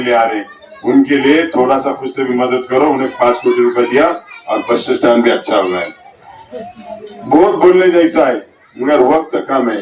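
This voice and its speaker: The male voice sits fairly high for a man and moves through normal pitch changes, with clear noise in the background. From Maharashtra, Yeola (Nashik district). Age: 60s. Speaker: politician. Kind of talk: campaign speech. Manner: animated.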